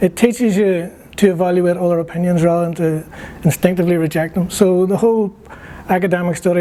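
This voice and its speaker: Over noticeable background noise, a high-pitched man with a Northern Irish accent talks very fast in a monotone, flat way. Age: 60s. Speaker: graduate student, former politician. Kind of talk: interview. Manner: halting.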